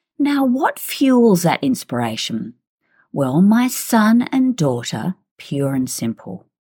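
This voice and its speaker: With an Australian accent, a woman speaks at a very slow pace in a medium, somewhat breathy voice. Her pitch swings very widely. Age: 60s. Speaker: podcast host, fitness trainer and psychologist. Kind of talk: personal storytelling monologue.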